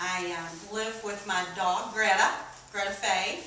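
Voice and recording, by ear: A woman with an American accent speaks slowly, in a bright, sharp tone with little pitch movement. Audible room echo surrounds her voice.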